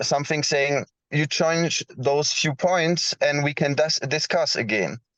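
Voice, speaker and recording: A man with a non-native accent and a fairly high pitch, in a dry, close recording with no echo. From Switzerland. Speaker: blockchain project founder. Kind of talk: round table discussion. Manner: halting.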